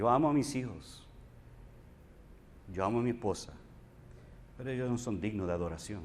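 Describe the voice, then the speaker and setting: Audible room echo surrounds a man of medium pitch who talks at a fairly quick pace broken by long, frequent pauses. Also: ordinary pitch variation. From Puerto Rico. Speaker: pastor. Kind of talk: sermon.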